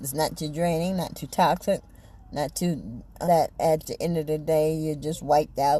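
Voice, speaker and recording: A woman with a very deep, low pitch speaks in a somewhat breathy voice. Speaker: faith and self-help vlogger. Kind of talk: casual personal vlog monologue. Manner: repetitive, stumbling.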